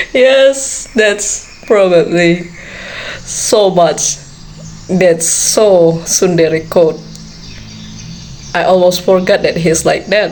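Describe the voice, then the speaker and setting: With a non-native accent, a woman speaks at a very slow pace with long, frequent pauses and very even loudness, against noticeable background noise. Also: medium pitch for a woman, ordinary pitch variation. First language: not English. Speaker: anime reaction streamer. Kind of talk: casual reaction commentary. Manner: halting.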